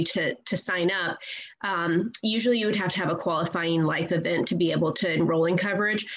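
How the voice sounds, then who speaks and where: A woman speaks at a fairly quick pace in an ordinary speaking voice. Her pitch is fairly low. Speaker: advocacy group director. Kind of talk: radio interview.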